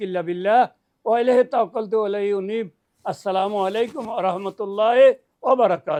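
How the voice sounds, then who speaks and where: Pitched high, a man's voice carries ordinary pitch variation. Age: 70s. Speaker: madrasa teacher, Islamic scholar. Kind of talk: religious advice. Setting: at a private home.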